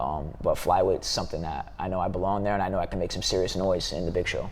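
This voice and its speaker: A man talking at a very fast pace over background music. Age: 20s. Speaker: mixed martial arts fighter. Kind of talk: interview. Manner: casual, filler-heavy.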